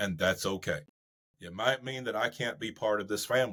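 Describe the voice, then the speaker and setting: A man speaks at a moderate pace with a Southern US accent and lively intonation. His tone is bright and sharp, and the recording is very clean with a silent background. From US South. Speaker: psychologist. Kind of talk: podcast interview.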